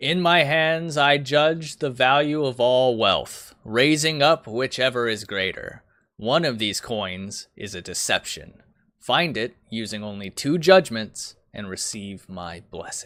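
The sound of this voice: A man puts on a booming character voice at medium pitch. His delivery is fairly slow with lively intonation.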